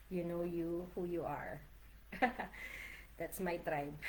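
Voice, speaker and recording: In a Filipino accent, a woman speaks fairly slowly with a warm tone. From Philippines. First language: Tagalog. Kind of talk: casual livestream talk to camera. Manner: warm, encouraging.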